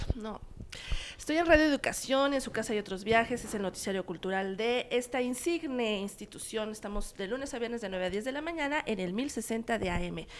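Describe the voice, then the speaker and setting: A woman's ordinary speaking voice, fairly high in pitch, with lively intonation and a fairly quick pace. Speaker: cultural journalist. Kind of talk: casual chat. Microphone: too far from the mic.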